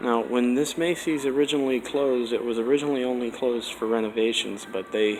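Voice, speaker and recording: At a very fast pace, a man talks at medium pitch with ordinary pitch variation over noticeable background noise. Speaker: mall explorer vlogger. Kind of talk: walkthrough narration. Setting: indoors in a nearly empty mall.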